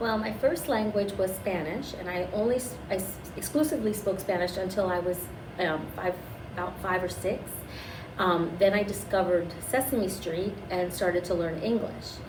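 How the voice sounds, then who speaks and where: A woman at a medium pitch and moderate pace, with ordinary pitch variation, plus audible room echo and noticeable background noise. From US, Cuban-American family. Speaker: school staff member. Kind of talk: interview.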